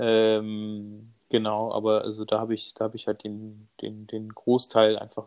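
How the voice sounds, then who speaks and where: A man with a fairly low voice speaks fairly slowly in a monotone, flat way, with hardly any pauses but big swings in loudness. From Bavaria, Munich. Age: 30s. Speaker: stay-at-home father and cameraman. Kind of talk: casual interview. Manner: hesitant, many fillers.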